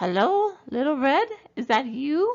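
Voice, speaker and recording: Using a put-on character voice, a woman speaks high in pitch with very wide pitch swings. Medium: read story.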